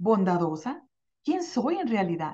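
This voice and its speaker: A woman with a warm, energetic, somewhat breathy tone speaks at a fairly slow pace. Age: 50s. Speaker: life coach and radio show host. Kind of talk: motivational self-help talk. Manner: warm and energetic.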